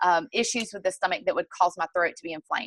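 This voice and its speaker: With a Southern US accent, a woman speaks at medium pitch in a bright, sharp tone with ordinary pitch variation. The sound is dry and close with no echo, against a quiet background. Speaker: network marketing distributor and fitness coach. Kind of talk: sales presentation on a group call.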